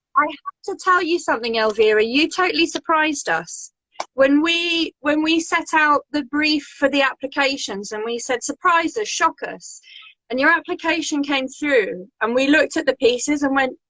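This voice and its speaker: A woman uses a raised, projected voice, high in pitch, with a bright, sharp tone. Her intonation is lively, and the sound is dry and close with no echo. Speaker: interview host. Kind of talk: interview. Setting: live stream video call. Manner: fast.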